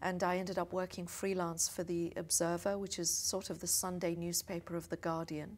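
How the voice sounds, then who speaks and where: A woman speaks with a British accent at a fairly low pitch. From England, London suburb. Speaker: diplomat. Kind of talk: interview. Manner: hesitant with fillers.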